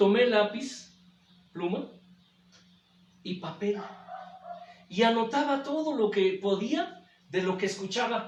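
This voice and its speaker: Speaking very slowly with long, frequent pauses, a man uses a high pitch and lively intonation amid noticeable background noise and audible room echo. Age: 60s. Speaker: pastor. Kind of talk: sermon. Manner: repetitive, halting.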